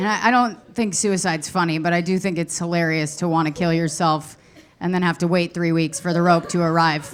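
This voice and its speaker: At a fairly quick pace, a woman speaks in a fairly low voice with fairly even intonation and very even loudness, against noticeable background noise. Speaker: stand-up comedian. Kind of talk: stand-up. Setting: stage with audience.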